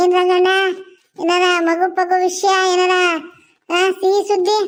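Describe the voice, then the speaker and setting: A woman's cartoonish character voice, extremely high in pitch, monotone and flat, at a fairly slow pace. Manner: brisk, scolding.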